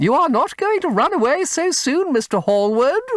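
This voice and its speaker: Putting on a character voice, a man goes shrill at an extremely high pitch while keeping a moderate pace. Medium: read story. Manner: gushing, breathless.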